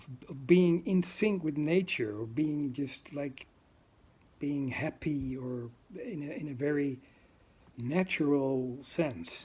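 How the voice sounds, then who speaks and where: A man with a Dutch accent speaks at a very slow pace, leaving long, frequent pauses. His pitch is fairly high with ordinary variation, and his loudness swings widely. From Netherlands. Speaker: vlogger. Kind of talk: casual monologue. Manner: halting, many fillers.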